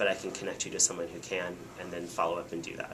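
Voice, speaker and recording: The voice belongs to a man. There is noticeable background noise. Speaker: corporate PR professional. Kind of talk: talk to a small audience. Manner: fast; many fillers (um).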